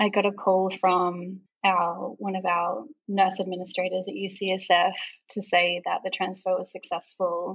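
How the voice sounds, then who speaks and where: Fairly slow and fairly even in intonation, a woman speaks at medium pitch with an Australian accent. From Melbourne, Australia. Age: 30s. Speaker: pregnant podcast guest. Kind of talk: casual interview.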